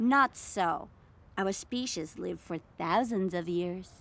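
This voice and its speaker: A woman's put-on character voice at medium pitch, delivered at a fairly slow pace. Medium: audio drama. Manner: blunt and tactless.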